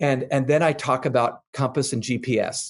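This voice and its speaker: A man speaks at a fairly high pitch with a somewhat breathy sound. The background is quiet. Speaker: author and leadership expert. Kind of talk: interview answer.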